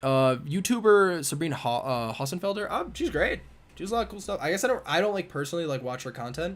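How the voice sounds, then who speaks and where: A high-pitched man at a very fast pace with lively intonation. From US Northeast (Buffalo, New York). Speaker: physics PhD student, YouTuber. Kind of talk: live stream Q&A. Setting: livestream with camera and mic. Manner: casual, filler-heavy.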